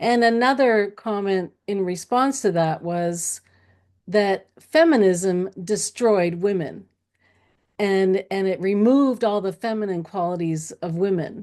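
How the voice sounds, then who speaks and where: This is a woman with an ordinary speaking voice and a medium pitch. She talks at a fairly slow pace with ordinary pitch variation. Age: 60s. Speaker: transformational coach. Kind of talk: casual chat.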